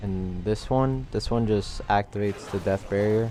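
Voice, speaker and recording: A man with a fairly low-pitched voice talks as music plays in the background. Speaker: speedrunner. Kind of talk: game tutorial commentary. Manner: casual.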